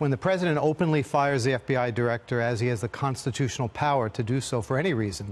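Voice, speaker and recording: Delivered fairly quickly, the speech shows ordinary pitch variation. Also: man. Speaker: guest. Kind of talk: interview answer. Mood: confident, argumentative. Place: studio. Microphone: lapel.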